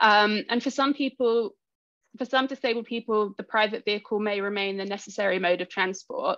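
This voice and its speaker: Over a quiet background, a woman speaks at a fairly quick pace in a fairly high pitch with fairly even intonation, the sound dry and close with no echo. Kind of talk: conference presentation. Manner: fast.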